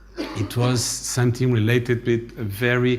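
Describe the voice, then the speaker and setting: A man talks at a medium pitch with a somewhat breathy sound. Audible room echo hangs around his voice. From Brazil. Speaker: aviation industry association president. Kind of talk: conference speech.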